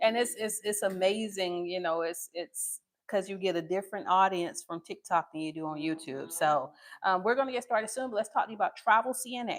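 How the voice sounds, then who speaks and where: An ordinary speaking voice: a woman at medium pitch talks at a fairly quick pace with lively intonation on a very clean recording with a silent background. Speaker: nursing assistant instructor. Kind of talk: live class teaching.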